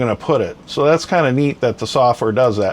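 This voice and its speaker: Background noise is clearly audible while a man talks at a middling tempo. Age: 60s. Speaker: hobbyist YouTuber reviewing a printer. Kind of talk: casual product demo. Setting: home workshop. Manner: hesitant, many fillers.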